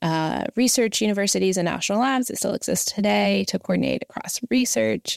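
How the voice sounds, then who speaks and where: A woman's plain, everyday voice, medium in pitch, with an American accent, at a fairly quick pace, in a very clean recording with a silent background. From Southern West Virginia. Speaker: climate policy nonprofit director. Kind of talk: interview.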